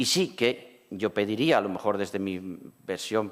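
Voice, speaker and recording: This very clean recording has a silent background. A man speaks with ordinary pitch variation. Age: 60s. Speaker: cancer survivor and patient advocate. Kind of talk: panel discussion.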